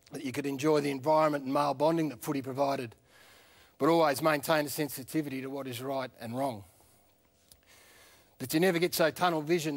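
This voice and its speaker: In an Australian accent, a man with a fairly high voice talks very fast with fairly even intonation. The recording is very clean, with a silent background. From country Victoria, Australia. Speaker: former footballer, TV presenter. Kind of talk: eulogy.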